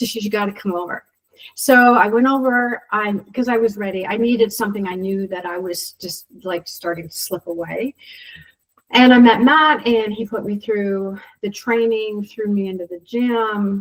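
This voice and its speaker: A woman in an ordinary speaking voice at a medium pitch and moderate pace, with ordinary pitch variation and big swings in loudness. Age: 60s. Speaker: CrossFit member sharing health story. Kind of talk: casual interview testimony.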